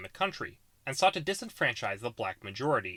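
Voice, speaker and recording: A man talks at a very fast pace with an American accent, a bright, sharp tone and vocal fry. The recording is very clean, with a silent background. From US Pacific Northwest, Washington State. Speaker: YouTube political explainer creator. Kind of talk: scripted narration.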